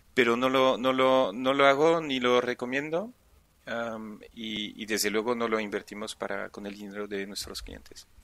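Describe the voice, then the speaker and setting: Speaking fairly slowly, this man holds a medium pitch with ordinary pitch variation. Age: 40s. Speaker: entrepreneur and angel investor. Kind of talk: interview. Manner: halting, many repeated words.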